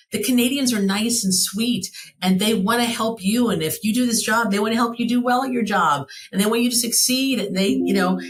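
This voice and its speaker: The speaker has an American accent and a somewhat breathy, animated tone. The pace is fairly quick, with ordinary pitch variation. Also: woman. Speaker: travel franchise owner. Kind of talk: podcast interview. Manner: fast.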